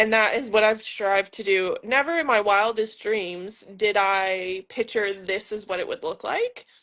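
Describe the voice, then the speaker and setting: An unremarkable speaking voice with an American accent goes at a fairly slow pace with hardly any pauses. The intonation is fairly even over a quiet background. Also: woman, fairly high pitch for a woman. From United States. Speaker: physiotherapist. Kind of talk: casual interview.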